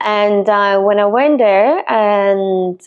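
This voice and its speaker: Someone with an Italian accent speaks at a very slow pace. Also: woman. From Italy, Milan. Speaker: real estate agent. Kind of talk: personal story vlog. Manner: hesitant, with fillers.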